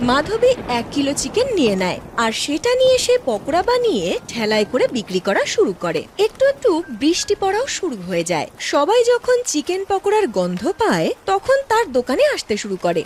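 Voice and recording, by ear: A woman speaks with a high pitch and very wide pitch swings. She keeps a moderate pace with few pauses.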